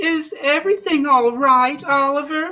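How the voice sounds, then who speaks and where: A man's put-on character voice, extremely high in pitch and fairly slow. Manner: calm, soothing.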